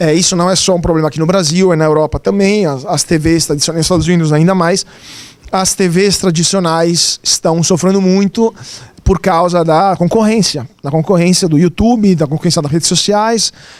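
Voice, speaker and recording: The speech runs at a moderate pace with fairly even intonation. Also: man, high pitch for a man. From Italy. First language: Italian (speaking Portuguese). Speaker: journalist. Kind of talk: lecture.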